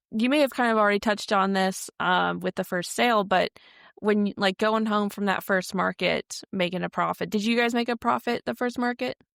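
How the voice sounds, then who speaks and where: A woman's plain, everyday voice, medium in pitch, at a fairly quick pace, with very even loudness and a dry, close sound with no echo. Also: ordinary pitch variation. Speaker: podcast host. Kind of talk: interview questions.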